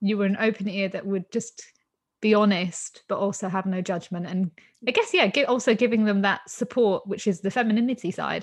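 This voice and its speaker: A woman's medium-pitched, somewhat breathy voice at a fairly quick pace, with fairly even intonation over a quiet background. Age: 30s. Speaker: podcast host. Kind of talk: interview chat.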